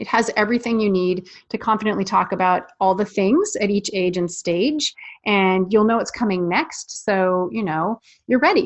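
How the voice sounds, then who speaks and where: A woman talks at a moderate pace in an ordinary speaking voice. Her pitch is medium. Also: ordinary pitch variation. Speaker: parenting sex-education coach. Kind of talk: webinar sales pitch. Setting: live webinar.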